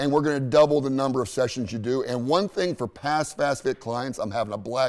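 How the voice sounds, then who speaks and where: The speaker is a man at a medium pitch. He moves at a fairly quick pace with ordinary pitch variation. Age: 60s. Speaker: business owner. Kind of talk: TV talk show interview. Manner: talkative.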